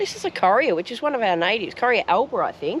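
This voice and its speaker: Speaking fairly quickly, a woman in an Australian accent swings her pitch very widely. Noticeable background noise is present. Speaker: travel vlogger. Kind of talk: casual vlog chat. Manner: speaking quietly.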